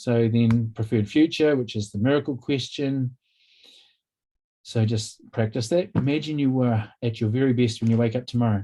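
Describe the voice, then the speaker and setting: With a New Zealand accent, a man talks at a moderate pace in a medium-pitched voice with a dark, mellow tone and ordinary pitch variation. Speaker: workshop presenter, counsellor. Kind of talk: workshop presentation.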